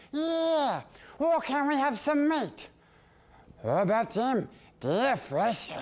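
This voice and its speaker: In a put-on character voice, a man talks at an extremely high pitch and a very slow pace, with long, frequent pauses. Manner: gruff, coarse.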